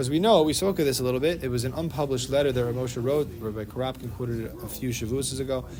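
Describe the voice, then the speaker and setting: A man rushes through his words at a very fast pace, with audible room echo and noticeable background noise around him. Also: medium pitch for a man, ordinary pitch variation. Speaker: Torah class teacher. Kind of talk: religious study class discussion.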